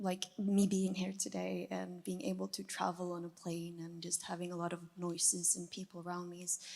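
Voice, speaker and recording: With a Norwegian accent, a woman talks at a moderate pace with hardly any pauses, her fairly low voice dark and mellow and her intonation monotone and flat. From Norway. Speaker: audience member. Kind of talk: testimony.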